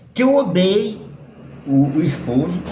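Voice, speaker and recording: A man's pitch swings very widely, and the room echo is audible. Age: 60s. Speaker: tarot reader and occultist. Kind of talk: monologue to camera.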